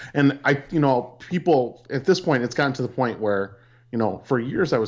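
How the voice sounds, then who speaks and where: A man talks fairly quickly with ordinary pitch variation against a quiet background. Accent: Upper Midwest. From US Midwest (Peshtigo, Wisconsin). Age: 30s. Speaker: teacher. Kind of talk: casual chat.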